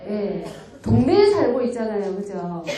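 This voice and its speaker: A woman talks in a space with audible room echo and noticeable background noise. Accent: Busan. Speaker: community activist lecturer. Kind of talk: lecture. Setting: lecture hall with audience. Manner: conversational, engaging audience.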